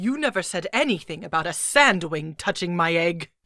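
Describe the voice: This female-sounding cartoonish character voice sits at a fairly low pitch for a woman. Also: moderate pace, very clean recording, silent background.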